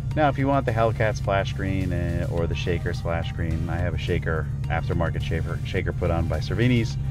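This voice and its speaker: A man speaks at a moderate pace. Loud music plays in the background. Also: dry sound with no echo. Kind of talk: tutorial. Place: car.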